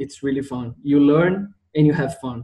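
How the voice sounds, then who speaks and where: Here a man speaks with a Portuguese accent in a dark, mellow tone. His pace is fairly slow and his pitch variation ordinary. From Brazil, Rio de Janeiro. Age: 20s. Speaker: geoscience student. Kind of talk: interview. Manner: halting.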